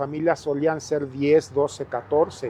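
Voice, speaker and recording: A man with a plain, everyday voice speaks at a fairly high pitch. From Mexico, Ciudad Nezahualcóyotl (Mexico City area). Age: 60s. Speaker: local resident sharing life story. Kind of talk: interview.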